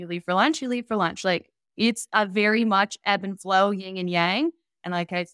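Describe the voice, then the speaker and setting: An unremarkable speaking voice at a moderate pace with ordinary pitch variation, dry, close sound with no echo. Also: woman. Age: 20s. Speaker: vacation rental business owner. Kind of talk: casual chat.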